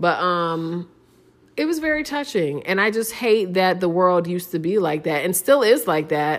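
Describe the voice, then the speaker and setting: In an American accent, a woman with an unremarkable speaking voice talks at a moderate pace with lively intonation and a fairly low pitch. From Ohio, US Midwest. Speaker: podcast co-host with her husband. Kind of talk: casual chat. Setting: at home.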